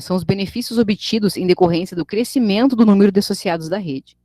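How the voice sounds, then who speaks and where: A woman's dark, mellow tone at medium pitch, very fast pace, in a dry, close sound with no echo. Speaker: teacher. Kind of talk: online lecture.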